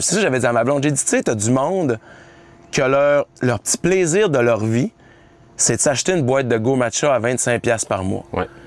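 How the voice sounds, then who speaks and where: A man speaks with lively intonation. The sound is dry and close with no echo, over noticeable background noise. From Quebec, La Baie (Saguenay). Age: 40s. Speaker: weight-loss coach and influencer. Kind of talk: casual interview. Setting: on a boat, filmed.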